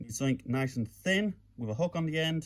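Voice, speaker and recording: Speaking with a British accent, a man talks at a fairly slow pace with lively intonation. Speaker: lockpicking hobbyist. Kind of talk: casual tutorial talk to camera.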